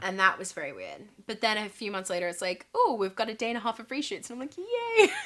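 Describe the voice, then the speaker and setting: A woman with an Australian accent speaks at a very fast pace in a fairly high pitch. Her intonation is lively, with big swings in loudness. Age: 20s. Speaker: actress. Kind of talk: interview answer. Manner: casual, friendly.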